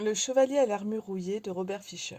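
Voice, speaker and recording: At a fairly slow pace, this woman speaks in a dark, mellow tone. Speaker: audiobook reader. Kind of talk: audiobook reading of a philosophical tale.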